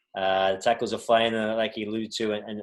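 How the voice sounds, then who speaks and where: A man's fairly low voice, very fast and flat in a monotone, against a quiet background. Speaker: soccer coach. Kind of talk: Q&A talk on video call. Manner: hesitant, many fillers and repeats.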